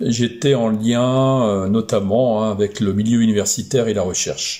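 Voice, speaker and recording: At a fairly slow pace, a man with a dark, mellow tone speaks at medium pitch and with fairly even intonation. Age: 60s. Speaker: aeronautical engineer. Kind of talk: career testimony. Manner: hesitant, many fillers.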